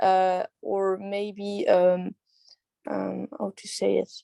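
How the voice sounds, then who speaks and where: A woman with a non-native accent has a dark, mellow tone, and the sound is dry and close with no echo. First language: not English. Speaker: university student. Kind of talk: class discussion. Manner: halting, many fillers.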